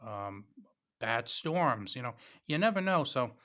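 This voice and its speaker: A man with a New England accent, bright and sharp in tone, at a moderate pace, on a very clean recording with a silent background. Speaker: YouTuber reviewing preparedness gear. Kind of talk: casual vlog product talk.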